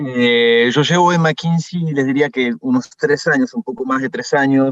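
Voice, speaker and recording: A man with a French accent speaks at a moderate pace and a medium pitch. The sound is dry and close with no echo. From France. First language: French (speaking Spanish). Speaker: management consultant. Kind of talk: workshop presentation. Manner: hesitant, many fillers.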